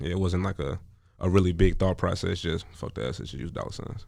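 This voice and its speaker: With vocal fry and a very deep, low pitch, a man speaks at a fairly quick pace with ordinary pitch variation. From Chicago. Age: 20s. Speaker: rapper. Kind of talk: radio interview. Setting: studio.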